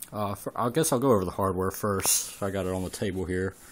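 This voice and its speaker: A man's voice with an American accent and ordinary pitch variation. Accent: thick country. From Southern US. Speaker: home theater hobbyist. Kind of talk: casual talk to camera. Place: home room. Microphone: phone near.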